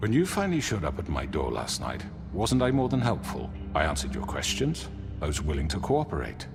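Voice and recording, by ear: A man's put-on character voice, extremely low, with very wide pitch swings, vocal fry, a fairly quick pace and clear music in the background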